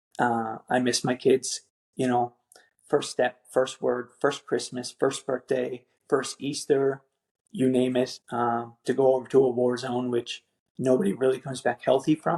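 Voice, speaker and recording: In a Newfoundland accent, a man speaks at a moderate pace and medium pitch, with a dry, close sound with no echo. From Newfoundland, Canada. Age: 30s. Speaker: military veteran and father. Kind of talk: podcast interview.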